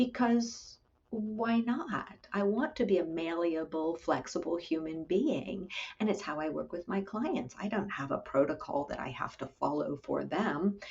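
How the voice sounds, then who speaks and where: A soft-spoken woman at a fairly slow pace, medium in pitch with very wide pitch swings, over noticeable background noise. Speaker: clinical psychologist. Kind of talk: interview.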